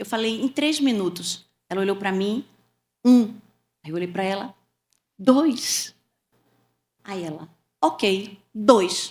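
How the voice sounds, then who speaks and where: A woman with a northeastern Brazilian accent talks very slowly, with long, frequent pauses. Her intonation is lively. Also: medium pitch for a woman, big swings in loudness. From Pernambuco, Brazilian Northeast. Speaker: communication mentor, former sales executive. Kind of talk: interview storytelling. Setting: podcast studio, streamed live.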